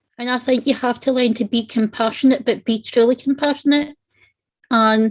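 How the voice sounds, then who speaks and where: A woman's high voice at a moderate pace with fairly even intonation. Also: dry, close sound with no echo. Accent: Scottish. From Scotland. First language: Italian. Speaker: panel guest on non-profit show. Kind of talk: personal testimony in panel discussion.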